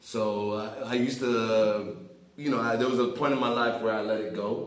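There is audible room echo around a man speaking at a medium pitch. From South Florida. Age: 30s. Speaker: rapper. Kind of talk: casual interview. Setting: studio. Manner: animated. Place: studio.

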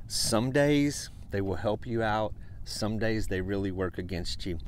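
In a normal speaking voice, a man talks at a fairly slow pace with a fairly low pitch and ordinary pitch variation, in a dry sound with no echo and light background noise. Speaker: fishing guide. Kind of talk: outdoor tutorial commentary. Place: boat. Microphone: phone near.

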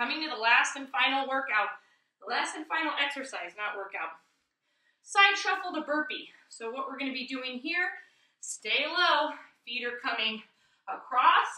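In a raised, projected voice, a woman speaks with big swings in loudness and long, frequent pauses. The background is quiet, with audible room echo. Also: moderate pace. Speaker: fitness instructor. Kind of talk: tutorial. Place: home room. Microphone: camera far.

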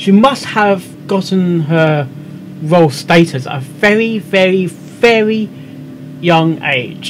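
A man at a slow pace, with faint background noise

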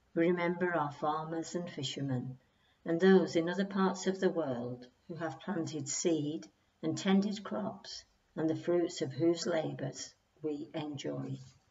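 A fairly slow, somewhat breathy delivery from a woman, fairly low in pitch. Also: ordinary pitch variation. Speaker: churchgoer leading prayers. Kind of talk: prayer reading. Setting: church.

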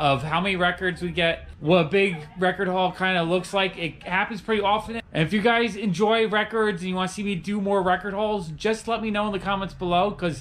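A man talks at a fairly quick pace with hardly any pauses. His high voice keeps a fairly even intonation. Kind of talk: casual vlog chat. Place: shop. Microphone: phone near.

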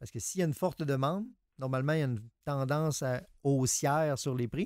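A man's fairly high voice at a moderate pace, dry with no echo. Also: quiet background. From Quebec. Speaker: psychologist co-host. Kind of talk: radio call-in advice show. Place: studio.

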